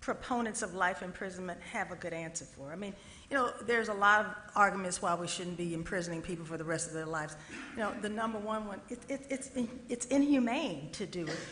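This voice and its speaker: Amid noticeable background noise and audible room echo, a woman speaks at a fairly quick pace with lively intonation. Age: 60s. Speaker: panel moderator. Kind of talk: moderated Q&A. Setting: stage with audience.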